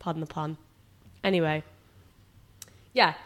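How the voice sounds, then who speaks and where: A woman speaks with a British accent in a fairly low pitch. The recording is very clean with a silent background. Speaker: podcast co-host, online fitness coach. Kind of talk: casual chat.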